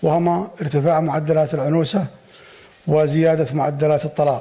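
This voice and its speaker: Here a man talks at a moderate pace. His intonation is monotone and flat. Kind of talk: formal speech. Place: hall. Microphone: podium.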